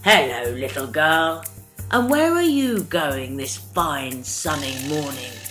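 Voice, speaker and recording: A put-on character voice sits at a low-to-middle pitch and moves at a fairly slow pace. Clear music plays in the background. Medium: read story. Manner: sly, wheedling.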